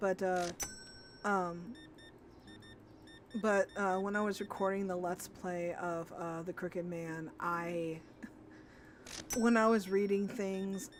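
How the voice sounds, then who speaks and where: Very slowly, a woman talks at a medium pitch with fairly even intonation. Long, frequent pauses break her speech, and there is noticeable background noise. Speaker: gaming streamer. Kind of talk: casual chat. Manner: stammers when nervous; chewing gum.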